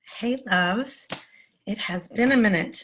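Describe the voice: A woman's put-on character voice, raspy and fairly high, at a moderate pace.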